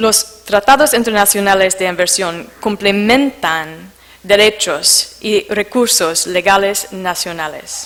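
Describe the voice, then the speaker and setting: A woman's medium-pitched voice with a non-native accent, ordinary pitch variation and a very slow pace, amid noticeable background noise. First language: not Spanish (speaking Spanish). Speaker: conference speaker on investment arbitration. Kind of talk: conference presentation. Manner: halting, many fillers.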